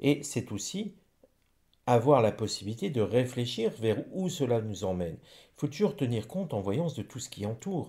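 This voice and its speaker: In a very clean recording with a silent background, a man with a medium pitch and a dark, mellow, somewhat breathy tone speaks at a moderate pace, his pitch swinging very widely and his loudness shifting a lot. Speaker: psychic / rune reader. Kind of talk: divination reading monologue. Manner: stumbling over words.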